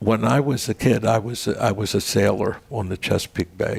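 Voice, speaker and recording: At a fairly slow pace, a man speaks with medium pitch and ordinary variation while noticeable noise runs underneath. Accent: American. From Maryland, US (Baltimore area). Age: 80s+. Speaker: veterans' organization leader and storyteller. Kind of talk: casual interview chat.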